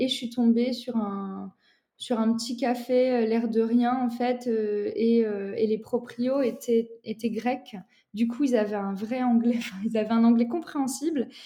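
Fairly slow, fairly even speech from a woman with a fairly high pitch and a dark, mellow tone. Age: 20s. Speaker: psychologist and former working-holiday traveller. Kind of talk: casual interview. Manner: hesitant, many fillers.

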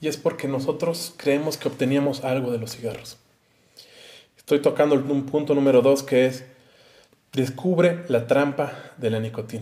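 A man with a Mexican accent, fairly high-pitched for a man, at a moderate pace with long, frequent pauses and fairly even intonation. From Mexico. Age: 30s. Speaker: YouTuber. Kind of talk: advice monologue to camera.

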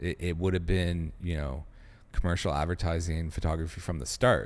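In a Canadian accent, a man speaks at a very deep, low pitch on a very clean recording with a silent background. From Canada, Ottawa. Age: 30s. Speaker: film director and studio co-founder. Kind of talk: casual chat. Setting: studio.

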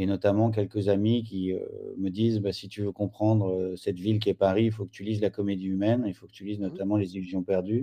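A man speaks at a fairly quick pace in a fairly low, dark, mellow voice with a flat, monotone delivery and big swings in loudness. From France. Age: 40s. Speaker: writer and essayist. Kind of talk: interview. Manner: halting.

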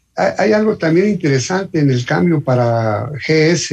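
A man speaks in a fairly high pitch with a somewhat breathy quality. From Mexico City. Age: 60s. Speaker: motorcyclist. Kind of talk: casual chat. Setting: phone call.

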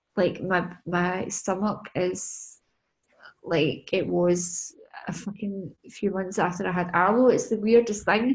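Somewhat breathy and very slow, a woman talks at a medium pitch in a Scottish accent. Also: ordinary pitch variation. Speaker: business and mindset coach. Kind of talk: casual chat. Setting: video call. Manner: casual, sweary.

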